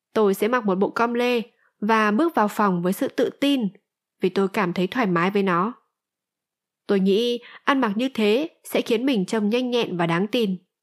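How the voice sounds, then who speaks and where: A woman with an ordinary speaking voice talks at a moderate pace and fairly high pitch, recorded very cleanly against a silent background, the sound dry and close with no echo. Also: ordinary pitch variation, very even loudness. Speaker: audiobook narrator. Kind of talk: reading aloud.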